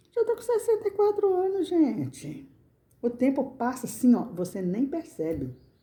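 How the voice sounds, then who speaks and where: A somewhat breathy woman's voice, dark and mellow, with very wide pitch swings. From Brazil, rural countryside. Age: 60s. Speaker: crafts channel owner. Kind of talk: casual personal talk to camera. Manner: halting, repetitive.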